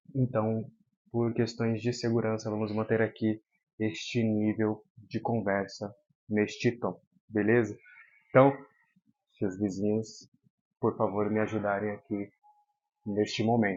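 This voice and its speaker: Soft-spoken and fairly low-pitched, a man talks at a fairly slow pace in a monotone, flat intonation with long, frequent pauses. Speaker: football commentator youtuber. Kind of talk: casual commentary monologue. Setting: at home. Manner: soft-spoken, talking quietly.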